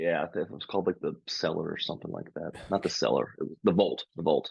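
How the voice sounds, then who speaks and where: In an American accent, a man talks at a very fast pace, with a dry, close sound and no echo. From Hagerstown, Maryland, US. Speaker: stand-up comedian and podcast co-host. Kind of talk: casual chat.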